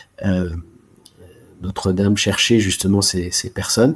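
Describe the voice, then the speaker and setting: A man talks at a fairly slow pace in a fairly low, dark, mellow voice with monotone, flat intonation. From France, Alsace. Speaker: chartered accountant. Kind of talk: interview. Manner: halting, frequent repetitions.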